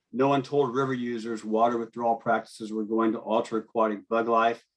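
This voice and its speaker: A man talks at a fairly quick pace in an American accent, his intonation monotone and flat. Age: 60s. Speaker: fishing guide. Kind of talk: public comment testimony.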